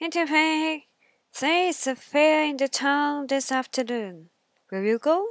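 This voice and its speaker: In a put-on character voice, the speaker goes at a fairly slow pace with a high pitch. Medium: read story. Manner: coaxing, sly.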